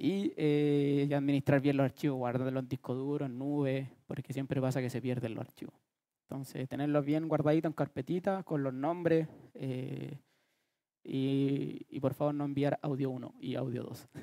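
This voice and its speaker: A man with a fairly high pitch and a dark, mellow tone, fairly even intonation, moderate pace, quiet background. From Chile. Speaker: music producer. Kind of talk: workshop lecture. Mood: relaxed, joking. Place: hall. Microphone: headset.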